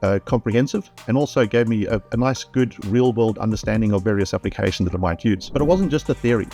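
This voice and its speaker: With music in the background, a man in a South African accent talks at a very fast pace in a fairly low pitch. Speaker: IT trainer. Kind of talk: testimonial interview answer.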